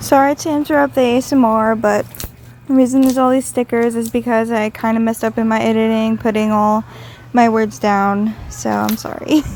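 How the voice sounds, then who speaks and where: In a normal speaking voice, the speaker talks at a fairly quick pace with ordinary pitch variation. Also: woman, fairly high pitch for a woman. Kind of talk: casual product review voice-over.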